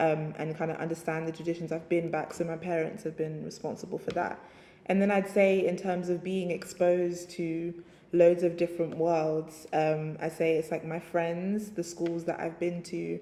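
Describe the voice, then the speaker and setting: The speaker talks at a moderate pace in a London accent with monotone, flat intonation. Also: woman, fairly low pitch for a woman. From England (London). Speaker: writer and DJ. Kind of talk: interview. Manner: casual, hesitant with fillers.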